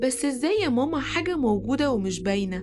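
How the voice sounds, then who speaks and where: A woman talks while noticeable background noise is heard behind her. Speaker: storyteller. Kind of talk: children's bedtime story.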